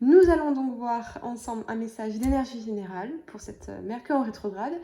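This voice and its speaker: A woman's fairly high-pitched voice at a moderate pace, with ordinary pitch variation. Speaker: tarot reader. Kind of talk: tarot reading. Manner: hesitant fillers.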